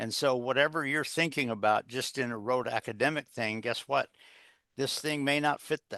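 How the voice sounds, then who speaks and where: Against a quiet background, a man with a bright, sharp tone talks at a moderate pace with fairly even intonation, the sound dry and close with no echo. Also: medium pitch for a man. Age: 70s. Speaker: executive coach and author. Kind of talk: interview. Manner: halting, many fillers.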